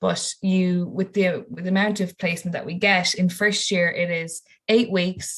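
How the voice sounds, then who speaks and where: A woman with a western Irish accent speaks at a moderate pace in a fairly low, somewhat breathy voice with monotone, flat intonation. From Ireland, County Mayo. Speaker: university student. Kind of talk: webinar Q&A.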